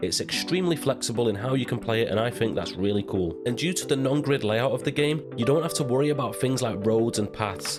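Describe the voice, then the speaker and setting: With music in the background, a man talks at a very fast pace with hardly any pauses, lively intonation, very even loudness and a medium pitch. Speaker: game reviewer. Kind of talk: video game review narration. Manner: soft.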